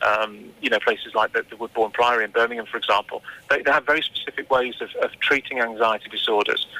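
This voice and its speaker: He speaks with an English accent. His pace is fairly quick. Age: 40s. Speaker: anxiety therapist. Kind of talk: radio interview.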